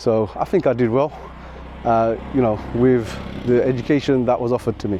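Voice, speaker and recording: A man with a medium pitch and fairly even intonation talks at a moderate tempo while noticeable noise fills the background. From England (moved from Sylhet, Bangladesh at age four). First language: Sylheti Bengali. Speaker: maths teacher and video creator. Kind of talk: personal storytelling to camera. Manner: reflective, with hesitations.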